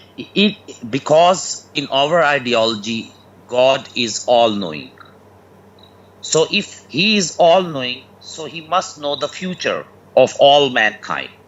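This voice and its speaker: At a very slow pace, a man with a non-native accent speaks in a fairly high pitch, with lively intonation and vocal fry. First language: not English. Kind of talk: call-in religious debate. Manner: halting, many fillers.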